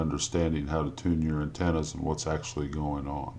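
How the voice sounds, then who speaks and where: A man speaks with an Indiana accent. His pitch is very deep and low. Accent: Indiana drawl. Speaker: amateur radio operator. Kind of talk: technical how-to explanation. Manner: slow, hesitant with fillers.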